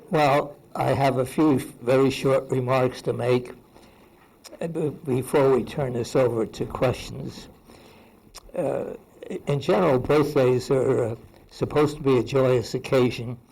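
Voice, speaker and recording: Fairly slow and fairly even in intonation, a man with a medium-pitched voice speaks with long, frequent pauses over noticeable background noise. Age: 90s. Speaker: retired research institute founder. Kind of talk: birthday speech and Q&A. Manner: halting.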